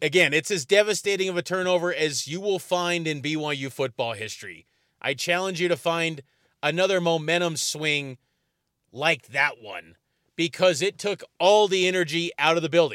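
A man speaks at a moderate pace in a high voice with a bright, sharp, animated tone and ordinary pitch variation. The recording is very clean, dry and close, with no echo and a silent background. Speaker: sports podcast host. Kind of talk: solo postgame commentary. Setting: parked car in stadium parking lot.

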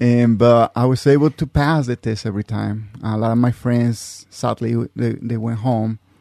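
A man speaks with a Mexican accent at a moderate pace and medium pitch, with hardly any pauses, fairly even intonation and a dark, mellow tone. The sound is dry and close with no echo, over a quiet background. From Mexico. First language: Spanish. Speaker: navy reservist, intelligence specialist. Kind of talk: interview. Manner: halting.

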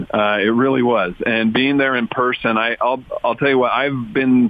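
A plain, everyday voice from a man at medium pitch, moderate pace, and ordinary pitch variation. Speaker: sports commentator. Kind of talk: casual chat.

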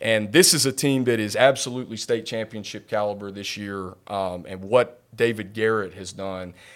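Recorded very cleanly against a silent background, a man with an unremarkable speaking voice and fairly low pitch talks at a moderate pace, with ordinary pitch variation and big swings in loudness. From North Carolina. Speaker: play-by-play sports broadcaster. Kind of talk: casual interview.

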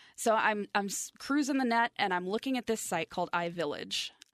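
Against a quiet background, a woman with an ordinary speaking voice talks at a moderate pace with lively intonation, the sound dry and close with no echo. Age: 40s. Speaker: radio station digital content producer. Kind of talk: interview, personal story. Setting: studio.

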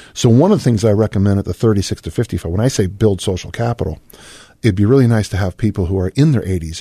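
A man's very fast, somewhat breathy voice, fairly low in pitch with ordinary pitch variation and a dark, mellow tone, in a dry, close sound with no echo. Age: 60s. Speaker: fitness coach and writer. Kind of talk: interview.

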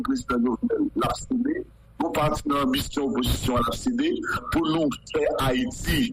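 With noticeable background noise behind him, a man with a high pitch speaks fairly slowly, his voice making very wide pitch swings. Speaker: local official. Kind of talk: radio interview.

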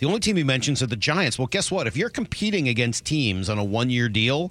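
A man speaks with music playing in the background. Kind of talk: sports news recap. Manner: upbeat, excited delivery.

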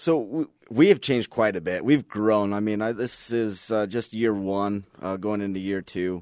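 A plain, everyday voice at a moderate pace, hardly any pauses, ordinary pitch variation, and a quiet background. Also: man, fairly low pitch for a man. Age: 30s. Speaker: firearms instructor and police officer. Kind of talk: casual interview.

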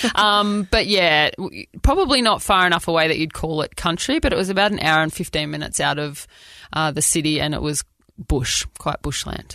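A woman with an Australian accent, a fairly low pitch, lively intonation and a fairly quick pace. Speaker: former professional netball player. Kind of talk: casual chat. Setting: studio.

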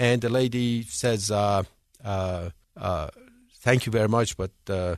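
The speaker has an Iranian accent and ordinary pitch variation, heard against a quiet background. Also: man. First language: Persian. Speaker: foundation founder, businessman. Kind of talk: radio interview.

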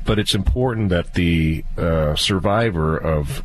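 A man talks with a normal amount of rise and fall in pitch over noticeable background noise. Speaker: estate planning attorney. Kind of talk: legal advice radio show. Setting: studio.

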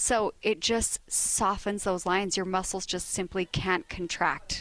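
The speaker is a woman with a medium pitch. She keeps a moderate pace. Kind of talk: sales pitch. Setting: in-store remote broadcast.

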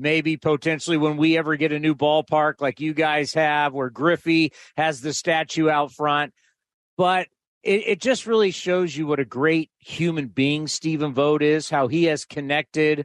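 A man's normal speaking voice, fairly high in pitch, at a moderate pace, with a dry, close sound, no echo and a quiet background. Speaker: team broadcaster. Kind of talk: interview analysis. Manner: fluent, explanatory.

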